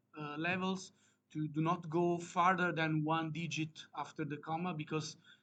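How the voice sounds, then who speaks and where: A man with an Italian accent and a fairly high pitch. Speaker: academic researcher presenting a paper. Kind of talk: conference presentation. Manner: halting, many fillers.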